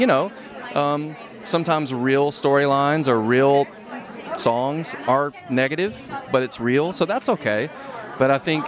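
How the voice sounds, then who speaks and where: Crowd noise fills the background as a man speaks at a fairly high pitch. His pitch variation is ordinary. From Nashville, Tennessee. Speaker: record producer and songwriter. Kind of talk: red carpet interview.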